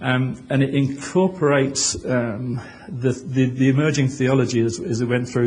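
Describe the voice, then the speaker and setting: This man's voice sits at a medium pitch and is somewhat breathy. Audible room echo surrounds his speech. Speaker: author and conference speaker. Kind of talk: conference presentation. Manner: fast. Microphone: poor original audio, remixed.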